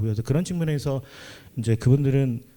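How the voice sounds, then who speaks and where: A man talks at a very fast pace. His tone is dark and mellow, with ordinary pitch variation. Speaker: panelist, religious worker and committee member. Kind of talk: panel discussion.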